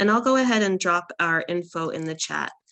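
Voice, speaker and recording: Over a quiet background, a woman with a fairly low pitch and a bright, sharp tone talks at a moderate pace. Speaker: immigrant rights policy advocate. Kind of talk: webinar presentation.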